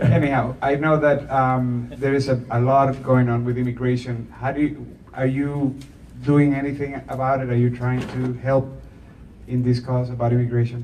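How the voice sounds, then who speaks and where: With audible room echo, a man delivers his words at a moderate pace and medium pitch in monotone, flat intonation. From Costa Rica. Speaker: audience member. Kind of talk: audience question. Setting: bookstore event with audience.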